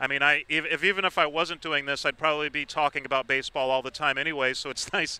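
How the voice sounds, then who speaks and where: Very fast and fairly even in intonation, a man with an American accent speaks at a fairly high pitch in a bright, sharp tone, the sound dry and close with no echo. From New York City, the Bronx. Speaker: baseball broadcaster. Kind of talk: interview.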